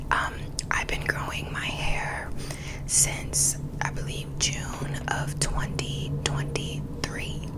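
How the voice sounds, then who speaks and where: Whispered words come out very slowly, with background noise noticeable throughout. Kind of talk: ASMR whisper ramble.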